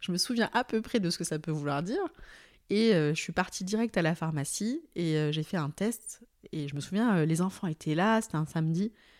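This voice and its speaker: A woman has a plain, everyday voice with a fairly low pitch. She speaks with lively intonation at a moderate pace. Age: 30s. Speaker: HR director. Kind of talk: casual chat. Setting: at guest's home.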